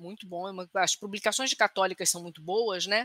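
A woman talks at a moderate pace in a bright, sharp tone. The recording is very clean with a silent background, and the sound is dry and close with no echo. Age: 40s. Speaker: psychologist. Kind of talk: casual podcast discussion.

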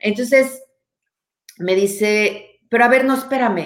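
A woman speaks in a Mexican accent. Her pitch is fairly high, with ordinary variation. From Mexico. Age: 40s. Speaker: anthropologist. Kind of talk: casual chat.

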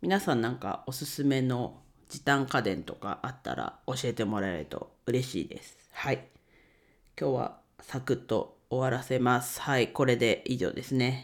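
A man speaks at a medium pitch with vocal fry, ordinary pitch variation and a moderate pace. His loudness swings widely, and the recording is very clean with a silent background. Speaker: podcaster, bookkeeping YouTuber. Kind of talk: casual solo talk.

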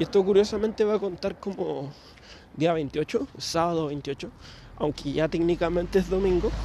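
This speaker has a Chilean accent. The pitch varies in an ordinary way. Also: man. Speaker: podcaster. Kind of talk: casual monologue. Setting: outdoors, walking at night. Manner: rambling, hesitant.

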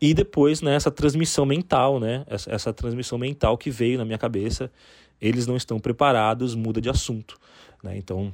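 This man has a plain, everyday voice. He keeps a moderate pace with ordinary pitch variation. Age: 40s. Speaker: copywriter sharing UFO account. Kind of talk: recorded personal testimony.

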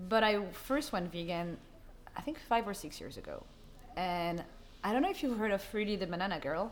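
Lively in intonation, a medium-pitched woman speaks at a fairly quick pace, broken by long, frequent pauses. Audible echo fills the room around her. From France, Paris. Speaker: social media creator. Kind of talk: interview. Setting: co-working space.

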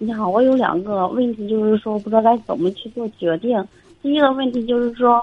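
A woman is talking at a fairly quick pace. Her pitch varies in an ordinary way. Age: 30s. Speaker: caller, neurologist. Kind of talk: call-in advice. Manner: halting. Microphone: too quiet.

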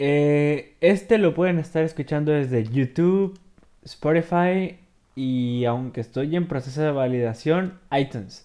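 A man speaks at a fairly slow pace with a fairly high pitch. His tone is dark and mellow. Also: ordinary pitch variation. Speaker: gaming podcaster. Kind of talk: game walkthrough commentary. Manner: halting.

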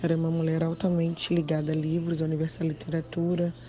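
Somewhat breathy, a woman speaks at a very deep, low pitch in a dark, mellow tone with monotone, flat intonation. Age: 30s. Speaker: writer and social worker. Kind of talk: interview.

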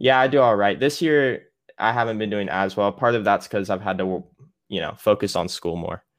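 A man's plain, everyday voice, fairly low, with an American accent, ordinary pitch variation and a moderate pace, over a quiet background. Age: 20s. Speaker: music producer. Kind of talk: casual interview chat. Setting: remote call.

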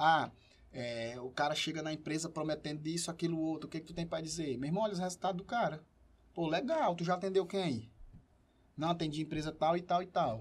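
Using a normal speaking voice, a man talks at a fairly quick pace. His pitch is fairly high, with ordinary variation. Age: 30s. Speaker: entrepreneur and professor. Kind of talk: casual chat.

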